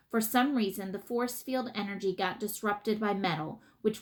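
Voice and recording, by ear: Someone reading aloud in a natural voice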